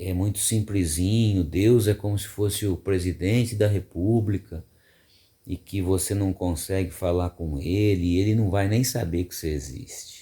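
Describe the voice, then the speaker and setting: This man's voice has a dark, mellow tone, somewhat breathy and fairly low in pitch. He talks at a fairly slow pace. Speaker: radio announcer. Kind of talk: casual reflective talk to camera.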